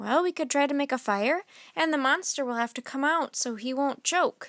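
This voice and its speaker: A woman's put-on character voice, high in pitch, at a moderate pace, on a very clean recording with a silent background. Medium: read story.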